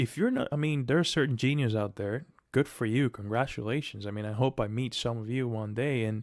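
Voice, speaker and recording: Talking at a fairly quick pace, a man with a non-native accent is heard on a very clean recording with a silent background. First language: not English. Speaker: aspiring software developer, coding vlogger. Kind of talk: casual pep talk to camera. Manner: halting, many restarts and fillers.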